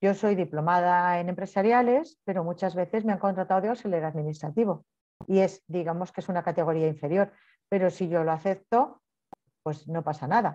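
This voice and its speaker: Over a quiet background, a woman with a fairly low pitch and a dark, mellow tone talks fairly quickly with ordinary pitch variation. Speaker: payroll training instructor. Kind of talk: online training lecture. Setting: online class with participants' microphones. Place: home room. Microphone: webcam.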